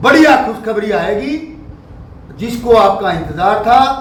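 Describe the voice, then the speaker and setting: Audible room echo surrounds a man with an extremely high pitch. His intonation is lively. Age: 60s. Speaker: local activist. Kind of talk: public speech. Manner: emphatic.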